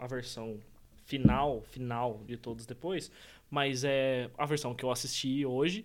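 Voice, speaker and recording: Using a normal speaking voice, a man talks at a fairly slow pace and medium pitch. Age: 20s. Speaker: podcast co-host. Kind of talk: casual chat.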